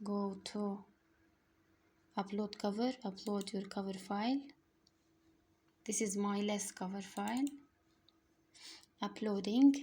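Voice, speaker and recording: In an Arabic accent, a woman speaks at a fairly slow pace with long, frequent pauses, her somewhat breathy voice dark and mellow in tone, medium in pitch and fairly even in intonation. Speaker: online tutorial creator. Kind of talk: casual product promotion; screen-recording tutorial. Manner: halting, non-fluent English.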